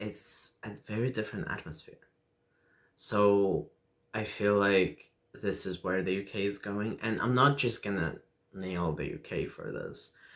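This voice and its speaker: A man speaks with a Russian accent. His pitch is fairly low and his pace fairly slow. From Lithuania. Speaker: video blogger. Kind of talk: personal vlog monologue. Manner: halting with many fillers.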